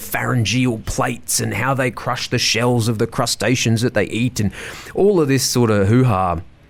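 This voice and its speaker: A man speaks at a fairly quick pace with an Australian accent. His pitch varies in an ordinary way. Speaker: reef and rainforest tour guide. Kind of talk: casual interview chat. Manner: loud; animated.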